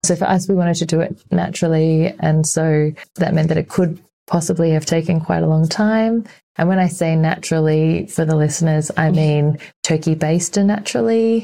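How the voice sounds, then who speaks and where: A woman with an Australian accent speaks at a fairly low pitch in a dark, mellow tone. Her intonation is fairly even and her loudness very even. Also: moderate pace. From Sydney, Australia. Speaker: arts and culture worker, mother. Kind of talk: interview conversation.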